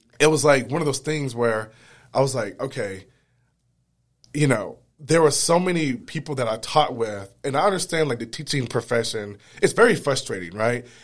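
A man speaks at a medium pitch and a moderate pace with lively intonation. The recording is very clean, with a silent background. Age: 30s. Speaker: menswear blogger and model. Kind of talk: casual interview chat. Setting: studio. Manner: hesitant, filler-heavy.

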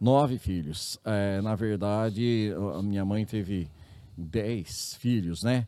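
Over a silent background on a very clean recording, a man with a fairly low pitch and a dark, mellow tone speaks at a very slow pace with ordinary pitch variation. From interior of São Paulo state, Brazil. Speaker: public health ombudsman, former city councillor. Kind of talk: interview.

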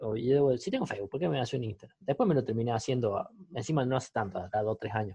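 A man at medium pitch, with lively intonation and a very fast pace. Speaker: podcast co-host. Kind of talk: casual chat.

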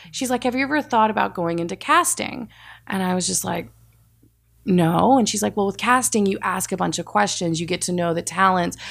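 A woman with an American accent speaks in an unremarkable speaking voice at a medium pitch. Her pace is fairly quick, her intonation lively, and the recording very clean with a silent background. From Texas. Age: 30s. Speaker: reality casting producer. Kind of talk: casual interview.

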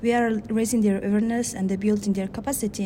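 A woman with a Mongolian accent speaks at a medium pitch with fairly even intonation. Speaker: human rights activist. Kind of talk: interview. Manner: halting.

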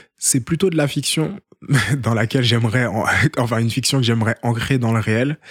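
This man talks at a moderate pace with a medium pitch and ordinary pitch variation. His loudness stays very even, and the sound is dry and close with no echo. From France, Seine-Saint-Denis. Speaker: documentary filmmaker. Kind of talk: casual interview. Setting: at the host's home. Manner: hesitant, repeats words.

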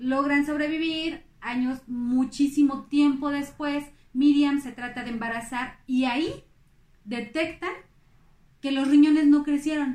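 A woman talks at a fairly slow pace in a high pitch. Her intonation is fairly even. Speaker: podcast host, amateur history narrator. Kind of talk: casual storytelling narration. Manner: halting, many fillers.

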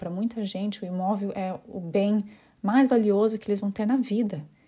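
A somewhat breathy woman with a dark, mellow tone and a Curitiba accent, at a moderate pace, on a very clean recording with a silent background. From Brazil, Curitiba. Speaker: home staging consultant and podcast host. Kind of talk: solo informational podcast monologue. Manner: hesitant, with frequent fillers.

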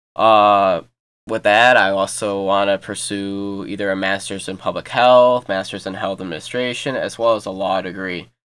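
With a normal speaking voice and an American accent, a man talks at a moderate pace and a fairly low pitch, his intonation fairly even, on a very clean recording with a silent background. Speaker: podcast host, college student. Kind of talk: casual podcast intro.

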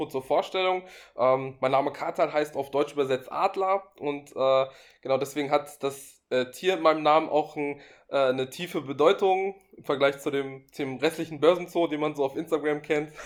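Over a silent background in a very clean recording, a man speaks at a moderate pace in a fairly high pitch with fairly even intonation. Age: 20s. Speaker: finance blogger and investor. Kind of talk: casual interview. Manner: hesitant, many filler sounds.

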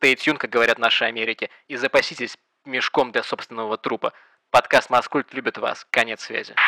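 A man speaks fairly quickly at a medium pitch, in a bright, sharp tone. His intonation is flat and monotone, and the sound is dry and close with no echo. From Russia, Pskov. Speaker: podcast co-host. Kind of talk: casual chat. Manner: theatrical.

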